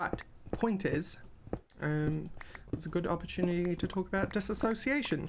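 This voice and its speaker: A woman's fairly low voice with lively intonation, very even loudness, and long, frequent pauses, amid noticeable background noise. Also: moderate pace. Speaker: gaming video creator. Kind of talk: let's play commentary.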